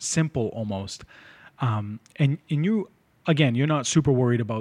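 With an American accent, a man uses an unremarkable speaking voice at medium pitch and ordinary pitch variation. He keeps a fairly quick pace against a quiet background. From North Shore, Massachusetts (Lynn). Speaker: podcast host. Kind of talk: casual interview.

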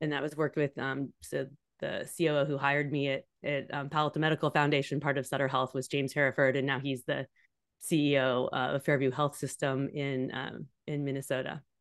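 Speaking at a fairly quick pace with a Californian accent, this woman has a very deep, low pitch and monotone, flat intonation against a quiet background. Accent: General American (Californian). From US West Coast, San Francisco Bay Area. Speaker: leadership coach. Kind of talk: interview.

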